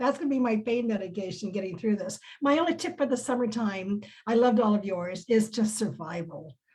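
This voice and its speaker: A woman with a fairly high, somewhat breathy voice speaks at a fairly quick pace. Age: 70s. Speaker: success team member on a business network panel. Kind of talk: casual chat.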